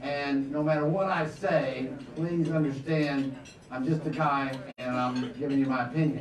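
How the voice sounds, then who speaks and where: A man speaks at a fairly high pitch. Room echo is audible, and background noise is noticeable. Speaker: real estate economics speaker. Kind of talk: luncheon keynote talk. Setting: stage with audience. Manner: animated.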